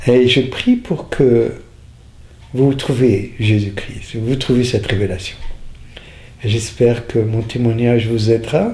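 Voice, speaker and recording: A man speaks at medium pitch and a very slow pace, with long, frequent pauses and fairly even intonation. Audible room echo and noticeable background noise surround him. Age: 60s. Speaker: faith healer. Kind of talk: testimony. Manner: halting.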